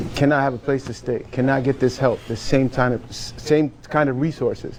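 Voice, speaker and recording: Over noticeable background noise, a man with a medium pitch speaks at a moderate pace in a monotone, flat intonation. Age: 40s. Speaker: military veteran and business owner. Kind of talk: casual panel discussion.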